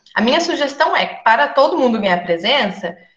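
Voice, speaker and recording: A woman speaks at a high pitch. Room echo is audible around her voice. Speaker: nursing lecturer. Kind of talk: online lecture. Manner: fast.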